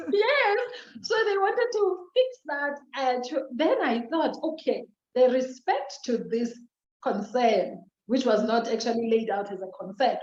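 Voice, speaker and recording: In a South African accent, a woman with a high pitch speaks at a fairly slow pace, her pitch swinging very widely. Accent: Xhosa. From South Africa, Eastern Cape. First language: Xhosa. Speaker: social worker. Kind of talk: interview.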